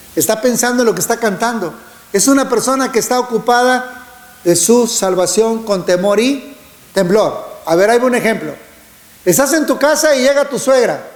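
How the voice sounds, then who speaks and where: The loudness stays very even throughout. Audible room echo and noticeable background noise are present. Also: man, extremely high pitch for a man, ordinary pitch variation, moderate pace. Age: 60s. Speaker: preacher. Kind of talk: sermon.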